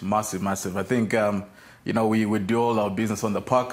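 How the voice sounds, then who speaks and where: His intonation stays monotone and flat. The man talks at a very fast pace. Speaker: rugby team coach, guest. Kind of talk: interview answer. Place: studio. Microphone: lapel.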